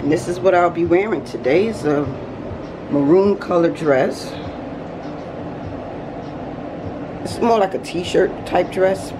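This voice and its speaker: Against noticeable background noise, a woman with a fairly low pitch talks at a fairly slow pace, leaving long, frequent pauses. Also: ordinary pitch variation. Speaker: vlogger. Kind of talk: casual vlog chat. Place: home room. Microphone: phone near.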